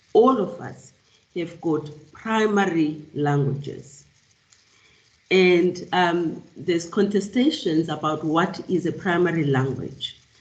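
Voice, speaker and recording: A woman with a South African accent speaks at a very slow pace, her pitch fairly low with ordinary variation. There is audible room echo. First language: isiXhosa. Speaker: professor. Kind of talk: lecture. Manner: halting, many fillers and repeats.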